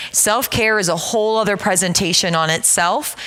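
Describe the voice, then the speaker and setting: A woman speaks at a moderate pace in an excited, energetic tone, her pitch varying in an ordinary way over noticeable background noise. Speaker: counselor and trauma-care presenter. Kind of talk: church seminar presentation. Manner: loud, projecting voice.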